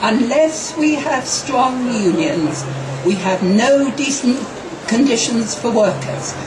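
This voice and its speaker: Over noticeable background noise and audible room echo, a woman with an English accent speaks very slowly at a high pitch, with lively intonation and very even loudness. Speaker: union member speaking at a rally. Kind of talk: protest rally speech. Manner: impassioned.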